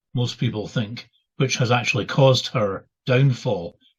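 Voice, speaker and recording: Somewhat breathy man's voice with a Scottish accent, medium pitch, moderate pace, quiet background. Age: 70s. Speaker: retired minister and author. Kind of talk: interview. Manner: halting, many fillers.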